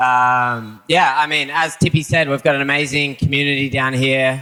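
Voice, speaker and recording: With an Australian accent, a man speaks at a moderate pace in a bright, sharp tone with fairly even intonation. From Australia, Sydney. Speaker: surfer. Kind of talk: panel talk before a live audience. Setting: venue with live audience.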